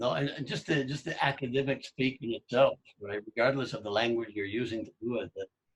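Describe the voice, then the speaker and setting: At a fairly quick pace with hardly any pauses, a man speaks in a somewhat breathy voice, the sound dry and close with no echo. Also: medium pitch for a man, ordinary pitch variation. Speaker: podcast host, language learner. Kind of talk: casual conversation.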